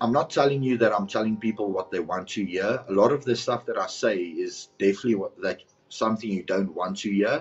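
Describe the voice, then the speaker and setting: A man with a South African accent speaks at a fairly low pitch. He goes at a fairly quick pace with hardly any pauses and ordinary pitch variation. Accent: Afrikaans South African English. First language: Afrikaans. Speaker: content creator and personal trainer. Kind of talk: podcast interview.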